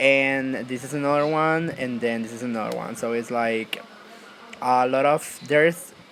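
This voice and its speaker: A non-native accent with fairly even intonation over noticeable background noise. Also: man, medium pitch for a man, moderate pace. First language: not English. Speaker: YouTuber. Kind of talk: tutorial. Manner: casual, filler-heavy.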